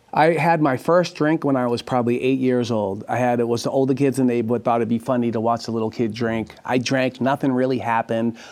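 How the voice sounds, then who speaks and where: A man with a Boston accent talks at a fairly quick pace with hardly any pauses. His pitch is medium and his intonation fairly even. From Dorchester, Boston, US. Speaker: guest sharing conversion story, former inmate. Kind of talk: casual interview, testimony.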